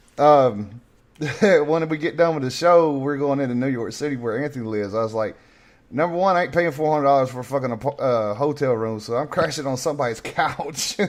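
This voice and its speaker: Speaking with a Southern accent, a man talks at a fairly quick pace in a fairly high voice with ordinary pitch variation. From North Carolina. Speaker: podcast host. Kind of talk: casual chat. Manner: loud.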